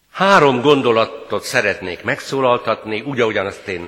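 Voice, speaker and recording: A man's medium-pitched voice with lively intonation at a fairly slow pace, over noticeable background noise. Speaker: pastor. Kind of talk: sermon. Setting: church.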